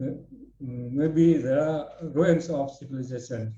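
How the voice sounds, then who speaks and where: A man speaks in a fairly high, somewhat breathy voice with a dark, mellow tone. His intonation stays fairly even. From Indonesia. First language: Indonesian. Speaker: researcher presenting at a webinar. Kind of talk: lecture. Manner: halting.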